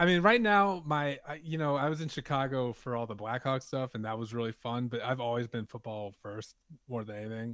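A man with an American accent, a plain, everyday voice, medium pitch, a fairly quick pace and hardly any pauses, against a quiet background. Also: ordinary pitch variation. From New Orleans, US South. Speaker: football fan podcast guest. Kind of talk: casual chat.

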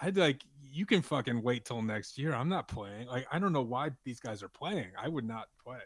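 A man with an American accent and an unremarkable speaking voice, medium in pitch, with lively intonation, a moderate pace, hardly any pauses, and a quiet background. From New Orleans, US South. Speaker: football fan podcast guest. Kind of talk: casual chat.

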